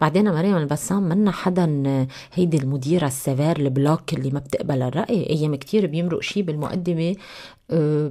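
A woman's very deep, low voice, dark and mellow in tone, at a moderate pace with ordinary pitch variation over a quiet background. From Lebanon. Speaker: TV news anchor. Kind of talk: radio interview. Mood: calm, explanatory. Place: studio. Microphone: studio mic.

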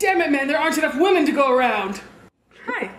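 With very wide pitch swings, a woman talks at a fairly quick pace over light background noise. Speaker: comic tour host. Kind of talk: comedic mock-documentary monologue. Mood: sarcastic, playful. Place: hall.

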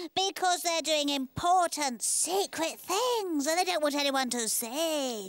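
The voice is a cartoonish character voice, high-pitched and delivered at a fairly slow pace. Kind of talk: children's puppet show. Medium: puppet show. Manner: vain, haughty, playful.

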